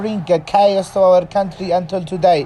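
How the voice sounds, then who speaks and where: Amid noticeable background noise, a man speaks at a fairly slow pace with an Arabic accent. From Yemen. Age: 20s. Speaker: reporter and fixer. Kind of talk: interview answer. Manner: voice at times shaking.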